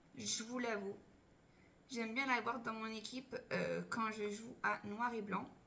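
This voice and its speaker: A woman's fairly high voice, with ordinary pitch variation, carries audible room echo and noticeable background noise. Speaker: Pokémon card collector YouTuber. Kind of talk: unboxing video chat. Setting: at home.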